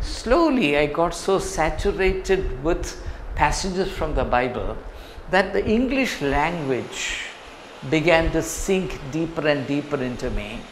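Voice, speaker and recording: With a Keralan accent and lively intonation, someone talks at a fairly slow pace in a room with audible echo and noticeable background noise. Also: man, high pitch for a man. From India, Kerala. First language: Malayalam. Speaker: professor. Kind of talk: motivational talk to students.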